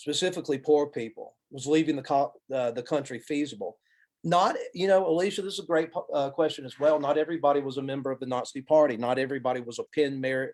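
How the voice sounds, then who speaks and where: Talking at a very fast pace, a man speaks with an Alabama accent. His pitch is fairly high. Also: ordinary pitch variation. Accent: Southern US (Alabama). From US South, Alabama. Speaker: college professor, lecturer. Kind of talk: Q&A after a lecture.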